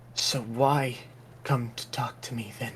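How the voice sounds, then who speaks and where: A man puts on a raspy character voice at medium pitch. His intonation is monotone and flat, with clear background noise. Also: fairly slow pace. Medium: actual play. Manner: calm.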